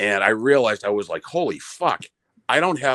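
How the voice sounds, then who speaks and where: In an American accent, a man speaks at a moderate pace with a bright, sharp tone and very wide pitch swings, the sound dry and close with no echo. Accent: Boston accent, comes out when emotional. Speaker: listener telling a personal story. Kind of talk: casual storytelling chat. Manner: halting, repeats words.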